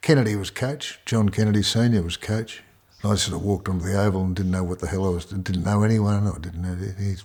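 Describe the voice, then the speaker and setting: A man's very fast speech with an Australian accent, fairly low in pitch with fairly even intonation. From Melbourne, Australia. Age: 70s. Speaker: retired farmer and former sportsman. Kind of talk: life story interview. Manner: halting, many repetitions.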